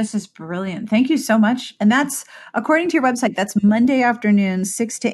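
Against a quiet background, a woman with a fairly high pitch and a somewhat breathy voice talks at a moderate pace with ordinary pitch variation. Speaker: podcast host. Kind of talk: interview. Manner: animated.

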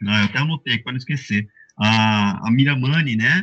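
A man speaking at a fairly quick pace with lively intonation. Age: 50s. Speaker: online shop owner, fan. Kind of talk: casual panel discussion. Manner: hesitant, with many fillers.

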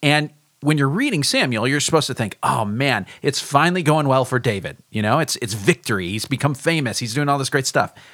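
A man's fairly high-pitched voice at a fairly quick pace, with hardly any pauses and ordinary pitch variation. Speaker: teaching pastor. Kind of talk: casual Bible discussion. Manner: halting, with many filler words.

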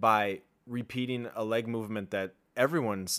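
This is an ordinary speaking voice. Its pitch variation is ordinary. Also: man, very clean recording, silent background. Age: 30s. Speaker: fitness podcast host. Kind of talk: casual chat.

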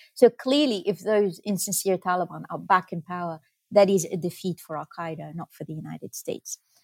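On a very clean recording with a silent background and a dry, close sound with no echo, a woman with an Arabic accent speaks fairly quickly at a medium pitch, with ordinary pitch variation and big swings in loudness. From Lebanon, Beirut. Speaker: professor and author. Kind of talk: interview. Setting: studio. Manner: halting with many fillers.

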